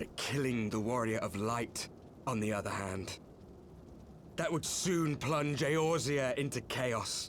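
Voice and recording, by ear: A put-on, gruff character voice moves at a fairly slow pace with very even loudness over clear background noise. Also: man, medium pitch for a man.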